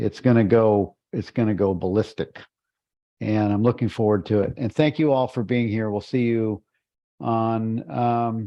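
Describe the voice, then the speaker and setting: Here is a man with a plain, everyday voice and medium pitch. He speaks fairly slowly with ordinary pitch variation. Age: 60s. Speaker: book study group host. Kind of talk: closing remarks in a group discussion.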